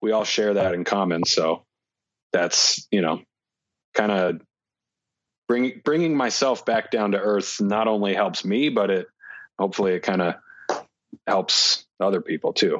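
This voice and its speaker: The delivery moves at a fairly slow pace with ordinary pitch variation and long, frequent pauses. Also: man, fairly low pitch for a man, very even loudness. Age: 20s. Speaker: disc golf player. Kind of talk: casual chat.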